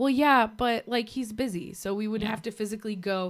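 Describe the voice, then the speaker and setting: This woman has an ordinary speaking voice, medium in pitch with ordinary pitch variation, and she talks at a fairly quick pace. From US, Navy family (born in Puerto Rico, left as infant). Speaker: podcast co-host. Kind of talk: casual chat.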